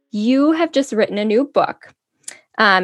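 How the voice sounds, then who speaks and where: Lively intonation marks a woman's unremarkable speaking voice at a moderate pace. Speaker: podcast host. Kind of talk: interview. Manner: warm, upbeat.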